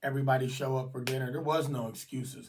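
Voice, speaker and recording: Fairly even intonation at a moderate pace, somewhat breathy. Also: man. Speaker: YouTuber. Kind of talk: casual vlog monologue. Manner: halting.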